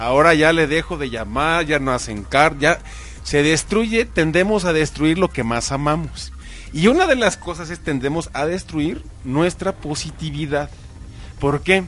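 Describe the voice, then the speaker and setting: Music behind a man's fairly slow speech. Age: 30s. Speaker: motivational speaker. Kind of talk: interview. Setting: studio.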